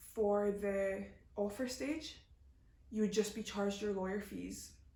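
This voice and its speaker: Over noticeable background noise and audible room echo, a woman with a medium pitch speaks at a moderate pace with fairly even intonation. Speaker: YouTuber. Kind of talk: Q&A answering viewer questions. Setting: home video recording, camera flash in eyes. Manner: casual, hesitant with fillers.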